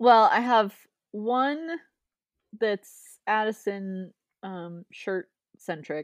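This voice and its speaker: Speaking at a very slow pace with long, frequent pauses, a woman uses lively intonation and a fairly high pitch in a very clean recording with a silent background. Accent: Midwestern American. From Ohio, US. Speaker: chemist and PhD candidate. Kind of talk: casual chat. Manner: animated.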